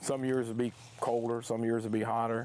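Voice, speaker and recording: In a dark, mellow tone, the voice rushes at a very fast pace with monotone, flat intonation. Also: man. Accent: Texan. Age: 60s. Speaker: farmer. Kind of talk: interview.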